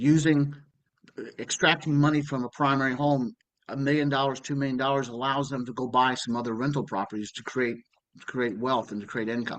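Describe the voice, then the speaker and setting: In a normal speaking voice, a man talks at a fairly quick pace with fairly even intonation and a medium pitch. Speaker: continuing education instructor, reverse mortgage specialist. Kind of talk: lecture.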